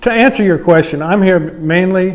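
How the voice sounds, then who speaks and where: A man's voice with ordinary pitch variation at a moderate pace. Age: 60s. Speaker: foreign guitar maker working in a factory. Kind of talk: interview. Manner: halting, with many restarts.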